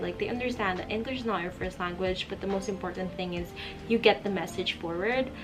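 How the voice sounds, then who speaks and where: A woman talks very fast at a medium pitch with ordinary pitch variation over noticeable background noise. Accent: Filipino. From Philippines. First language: Filipino. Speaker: vlogger. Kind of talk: casual Q&A vlog. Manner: conversational with fillers.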